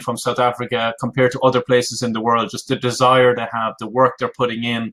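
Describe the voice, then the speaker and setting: A man with an Irish accent speaks at a very fast pace, his medium-pitched voice bright and sharp in tone. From Ireland. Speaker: business coach. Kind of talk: webinar presentation. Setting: live online webinar.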